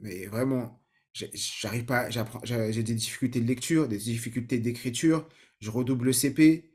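A man talks at a fairly slow pace. His medium-pitched voice keeps a fairly even intonation. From Paris suburbs, Saint-Ouen (Seine-Saint-Denis). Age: 30s. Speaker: learning-techniques trainer and podcaster. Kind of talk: personal story monologue. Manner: many hesitations and repetitions.

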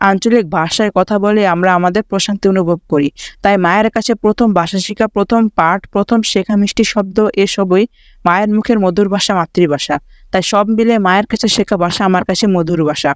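Heard dry and close with no echo, a man talks at a high pitch with very even loudness and fairly even intonation. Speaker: education YouTuber. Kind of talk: reading aloud.

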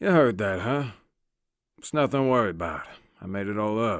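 A man uses a put-on character voice at medium pitch. He talks at a fairly quick pace. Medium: audio drama.

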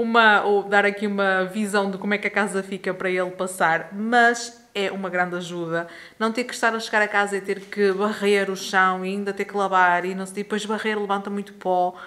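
Hardly pausing, a woman speaks at a moderate pace with monotone, flat intonation. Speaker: home vlogger. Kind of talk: casual vlog chat. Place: home room. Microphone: phone near.

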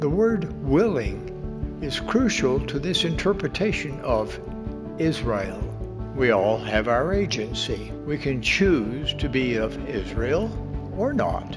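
Clear music plays in the background. Over it, a man speaks at a very slow pace. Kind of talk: sermon. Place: hall. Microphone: podium.

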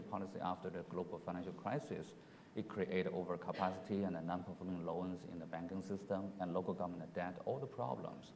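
Very fast and very deep, a man's voice runs with fairly even intonation. Light background noise sits behind it. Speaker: economist. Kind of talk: panel discussion. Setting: stage with audience. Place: hall.

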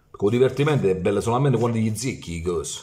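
This man's pitch varies in an ordinary way. He talks very fast. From Italy, Foggia (Apulia); Apulia, Italy. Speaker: football YouTuber. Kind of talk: ranting monologue. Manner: animated. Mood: mocking, heated rant. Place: home room. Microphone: phone near.

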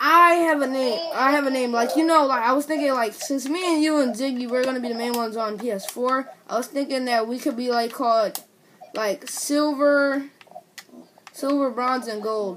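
A woman speaks at a moderate pace, her pitch high with ordinary variation. Light noise sits in the background. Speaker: gamer making first video. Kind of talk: casual gaming chat. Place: home room. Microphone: phone near.

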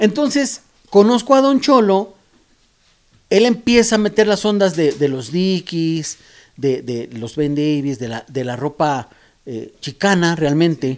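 A man speaks at a high pitch and a very slow pace, with very wide pitch swings and big swings in loudness. The background is quiet. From Mexico, Oaxaca roots; Mexico. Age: middle-aged. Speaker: graffiti artist and airbrush painter; podcast guest. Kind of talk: casual interview. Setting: artist's studio. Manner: halting, many repetitions. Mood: reflective, warm storytelling. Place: garage. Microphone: handheld.

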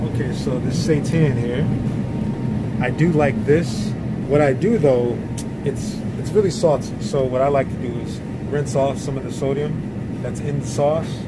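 Over loud background noise, a man speaks at a moderate pace with ordinary pitch variation and long, frequent pauses. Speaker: grocery vlogger. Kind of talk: casual vlog chat. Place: shop. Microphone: phone near.

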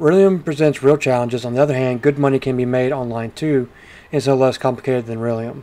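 At a very fast pace, a man talks in a dark, mellow tone. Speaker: video game streamer and reviewer. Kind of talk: game review and gameplay commentary, casual; noir detective narration of in-game text, read aloud. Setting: home recording with gameplay audio. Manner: animated, jokey, upbeat.

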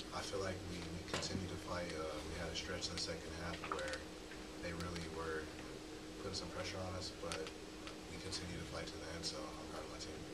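A man speaks at a fairly quick pace. Loud background noise runs underneath. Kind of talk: interview answer. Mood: subdued after a loss. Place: meeting room. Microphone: podium.

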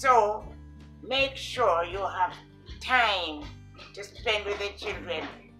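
A woman speaks with long, frequent pauses and big swings in loudness. Music plays clearly in the background. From Jamaica. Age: 80s+. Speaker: retired educator, former vice principal. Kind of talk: interview answer. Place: home room. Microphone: camera far.

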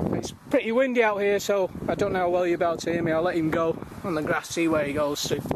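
Over noticeable background noise, a man talks at a very fast pace with ordinary pitch variation, in a dry sound with no echo. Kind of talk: casual commentary. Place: garden. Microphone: phone near.

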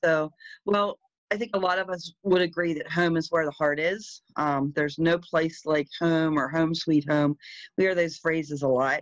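A woman with a plain, everyday voice talks at a moderate pace in a fairly low pitch with fairly even intonation, recorded dry with no echo against a quiet background. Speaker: presenter. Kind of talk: presentation talk over slides. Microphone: video call.

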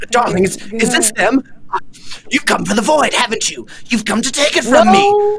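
A put-on character voice with a fairly high pitch moves at a moderate pace over clear background noise. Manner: frantic, paranoid; grief-stricken, vengeful.

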